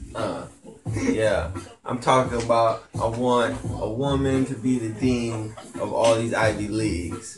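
Music plays in the background as a man speaks at a very slow pace, with audible room echo. He has an American accent and fairly even intonation. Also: medium pitch for a man. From California. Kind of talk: casual chat.

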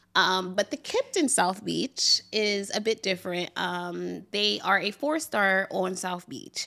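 A woman with a medium pitch and a bright, sharp tone talks very slowly, with vocal fry and lively intonation. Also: very clean recording, silent background. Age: 30s. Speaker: travel podcast co-host, brunch blogger. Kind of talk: casual chat.

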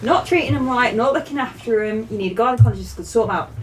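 A woman talks at a very fast pace with noticeable background noise. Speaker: host's wife, guest. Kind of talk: casual chat.

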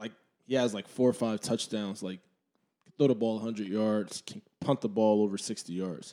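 Keeping a moderate pace broken by long, frequent pauses, a man with an American accent talks in a dark, mellow tone, his fairly low pitch held in fairly even intonation. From New Jersey, Trenton. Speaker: former college football player. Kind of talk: casual chat.

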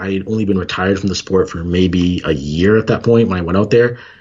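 A man with a normal speaking voice keeps a fairly quick pace, his fairly low pitch showing ordinary pitch variation. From Canada. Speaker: former Olympic sprinter and entrepreneur. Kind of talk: casual interview.

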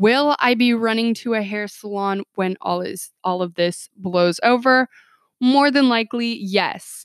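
In a dry, close recording with no echo, a woman with a fairly high pitch talks at a fairly slow pace, her tone animated and her pitch variation ordinary. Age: 20s. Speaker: podcast host. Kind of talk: solo podcast monologue.

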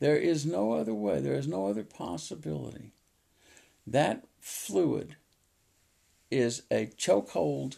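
A man speaks in a fairly low, dark, mellow voice with vocal fry and very wide pitch swings. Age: 70s. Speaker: podcast host and farmer. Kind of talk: solo monologue. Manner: halting, many fillers.

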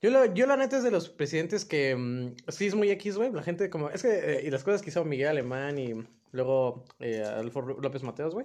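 Very wide pitch swings at a moderate pace. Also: man, fairly high pitch for a man. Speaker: podcast co-host. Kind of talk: casual chat.

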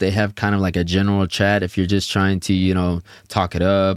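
A man with an American accent and a normal speaking voice talks at a fairly low pitch, recorded in a dry, close sound with no echo. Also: very clean recording, silent background. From Houston, Texas. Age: 20s. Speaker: podcast host, airman. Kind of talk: casual chat.

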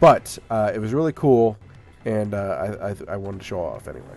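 A man with an American accent has a dark, mellow tone. He speaks at a fairly quick pace with ordinary pitch variation. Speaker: podcast host. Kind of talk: casual banter podcast. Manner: joking, playful.

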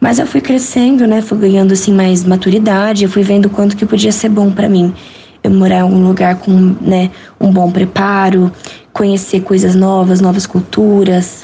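A woman talks at medium pitch in a monotone, flat way, with noticeable background noise behind her. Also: moderate pace. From Brazil, São Paulo state. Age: young. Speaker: visually impaired student. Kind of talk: interview.

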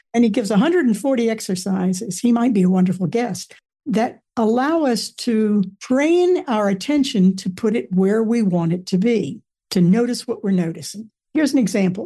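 A woman talks at a moderate pace in a fairly high voice. Her tone is dark and mellow and somewhat breathy. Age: 80s. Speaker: author and retired theater professor. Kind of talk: interview.

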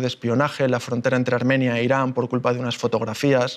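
Here a man talks at a very fast pace. His delivery is monotone, with flat intonation. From Spain, Málaga (Andalusia). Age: 30s. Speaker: explorer and speaker. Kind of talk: public talk.

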